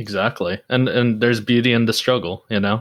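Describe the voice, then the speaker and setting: A man speaks at a fairly quick pace in a flat monotone on a very clean recording with a silent background. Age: 20s. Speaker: podcast host. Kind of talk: casual interview chat.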